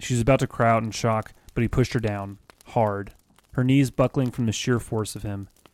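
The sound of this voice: This is an unforced reading voice. It carries the words without strain.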